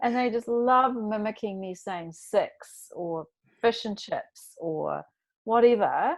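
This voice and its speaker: Speaking very slowly, a woman with a New Zealand accent uses a fairly high pitch and lively intonation. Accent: New Zealand accent, mocked by Australians. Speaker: podcast host, guest. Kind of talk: casual interview chat.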